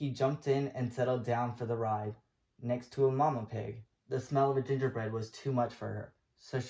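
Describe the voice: Intonation stays fairly even in this plain reading aloud. Behind it, the background is quiet.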